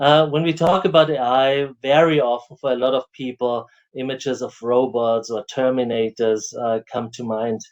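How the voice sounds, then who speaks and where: With an Austrian accent, a man talks at a medium pitch with ordinary pitch variation and hardly any pauses. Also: moderate pace. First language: German. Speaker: professor and AI researcher. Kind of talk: lecture. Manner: hesitant with fillers.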